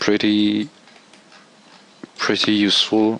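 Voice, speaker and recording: With a non-native accent, a man talks at a fairly low pitch over noticeable background noise. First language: not English. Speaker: game tool developer. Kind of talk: software tutorial. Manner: halting.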